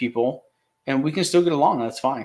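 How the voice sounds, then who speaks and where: On a very clean recording with a silent background, a man mumbles at a fairly quick pace with medium pitch. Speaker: live stream host. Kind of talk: casual chat. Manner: mumbling.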